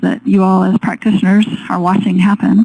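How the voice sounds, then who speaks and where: Soft-spoken and somewhat breathy, a woman talks at a moderate pace. Her pitch is medium. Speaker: forestry researcher and educator. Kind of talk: webinar presentation. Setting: webinar.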